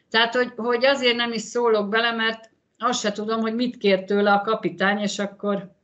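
The voice is monotone and flat against a quiet background. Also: woman, fairly high pitch for a woman, fairly quick pace. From Hungary. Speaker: former handball player, mother of athlete. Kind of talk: interview. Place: home room. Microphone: video call.

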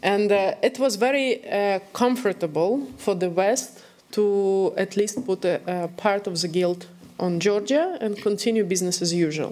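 A woman's dark, mellow tone at a fairly slow pace with ordinary pitch variation. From Belarus. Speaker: activist and former journalist; former journalist. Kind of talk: panel discussion. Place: hall. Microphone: podium.

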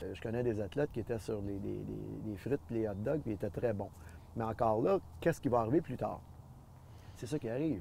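Somewhat breathy and dark, mellow in tone, a man talks at a fairly quick pace with long, frequent pauses, the sound dry with no echo over light background noise. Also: ordinary pitch variation. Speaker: former athlete and nutrition advocate. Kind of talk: interview answer. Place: garden. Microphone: lapel.

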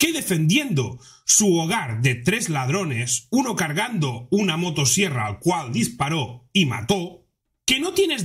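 A man speaks at a fairly slow pace, his pitch swinging very widely. The background is quiet. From Spain. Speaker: youtuber. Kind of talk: news commentary narration. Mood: indignant, outraged. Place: home room. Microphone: studio mic.

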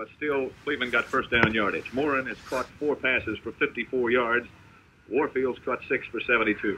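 Against noticeable background noise, a man talks with monotone, flat intonation. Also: moderate pace. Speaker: TV color commentator. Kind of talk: commentary. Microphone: old recording.

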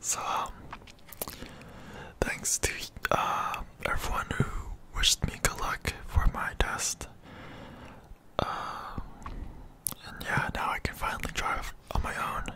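A man whispers very slowly, pausing often and at length. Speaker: ASMR creator. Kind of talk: casual vlog chat. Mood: happy about passing test. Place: home room. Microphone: studio mic.

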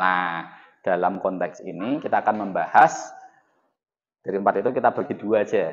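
Moderate-paced speech from a man, set against a quiet background. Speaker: lecturer. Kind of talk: lecture. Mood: joking, relaxed. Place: classroom.

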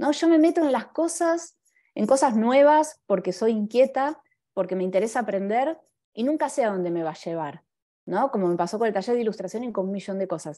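In a Buenos Aires accent, a woman with a fairly high pitch and a dark, mellow tone makes very wide pitch swings against a quiet background. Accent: Buenos Aires Rioplatense Spanish. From Argentina. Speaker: graphic designer and illustrator. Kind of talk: talk with slides. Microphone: video call.

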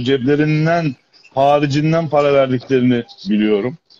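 This man's voice sits fairly high, with fairly even intonation. He talks at a moderate pace over light background noise. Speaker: guest. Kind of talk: live-stream call-in chat. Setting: video call on a live stream. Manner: polite, effusive. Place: home room. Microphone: video call.

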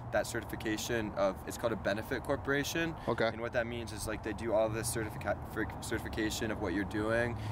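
A man talking at a fairly quick clip with hardly any pauses, dry and echo-free, over noticeable background noise. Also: ordinary pitch variation. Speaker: interviewee. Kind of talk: interview answer. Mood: relaxed, proud. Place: open country. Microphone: camera far.

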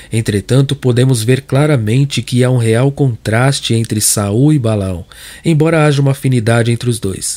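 Delivered at a moderate pace, the dark, mellow voice shows ordinary pitch variation. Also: man. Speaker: audiobook narrator and preacher. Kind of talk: sermon read aloud as audiobook narration, preacher in full flow. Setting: studio, recorded online video. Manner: impassioned, emphatic, pleading, direct address to the listener.

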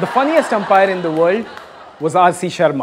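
A man with a high pitch speaks over light background noise. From India. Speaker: comedian and cricket show host; comedian, cricket show host. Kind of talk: comic monologue with impressions; casual chat. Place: stage. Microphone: handheld.

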